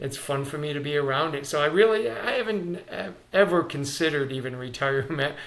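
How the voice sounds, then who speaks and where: At a moderate pace and with ordinary pitch variation, the speech carries audible room echo amid noticeable background noise. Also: man. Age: 60s. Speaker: sports performance coach. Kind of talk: interview. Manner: halting, many fillers.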